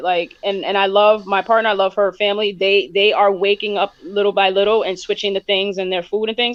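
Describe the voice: A woman's medium-pitched voice at a fairly quick pace, with few pauses and fairly even intonation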